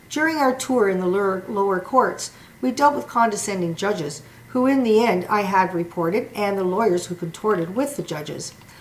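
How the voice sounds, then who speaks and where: With noticeable background noise behind her, a woman of medium pitch talks at a fairly quick pace with lively intonation. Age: 60s. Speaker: former liquor store employee, litigant. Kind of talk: prepared statement. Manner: formal.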